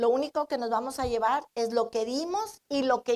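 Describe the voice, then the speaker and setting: At a fairly slow pace, a woman talks with a high pitch and ordinary pitch variation. The sound is dry and close, without echo. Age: 60s. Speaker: pastor. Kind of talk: sermon.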